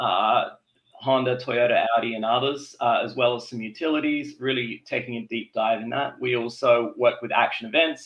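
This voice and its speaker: Fairly even in intonation, the delivery holds a moderate pace. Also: man, medium pitch for a man. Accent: Australian. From South Australia. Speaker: electric vehicle consultant. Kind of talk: casual chat. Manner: halting.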